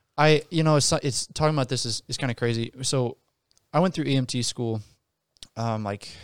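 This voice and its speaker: An American accent comes through with ordinary pitch variation on a very clean recording with a silent background, the sound dry and close with no echo. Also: man, medium pitch for a man, moderate pace. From rural US countryside. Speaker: podcast co-host. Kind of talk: casual chat.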